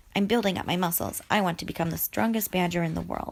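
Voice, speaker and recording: A raspy, gruff put-on character voice at a very fast pace. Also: woman, fairly low pitch for a woman. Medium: read story. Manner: gruff, grunting.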